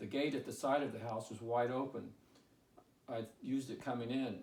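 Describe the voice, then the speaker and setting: A man with a plain, everyday voice, medium pitch, moderate pace and fairly even intonation. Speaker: author. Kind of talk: audiobook reading.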